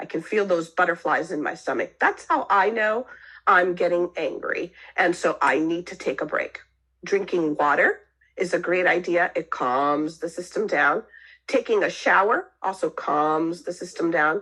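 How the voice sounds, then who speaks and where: The background stays quiet as a woman talks at a moderate speed. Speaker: marriage and family therapist. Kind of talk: online talk. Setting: online session.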